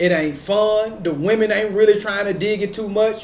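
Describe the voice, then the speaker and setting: The speech moves at a fairly quick pace. Noticeable background noise and audible room echo are present. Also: man. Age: 30s. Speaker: commentary YouTuber. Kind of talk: reaction commentary. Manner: animated.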